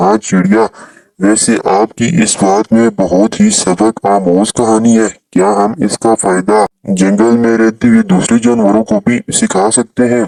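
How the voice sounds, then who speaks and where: Delivered at a fairly slow pace, this is a cartoonish character voice. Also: man, medium pitch for a man. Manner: friendly, earnest.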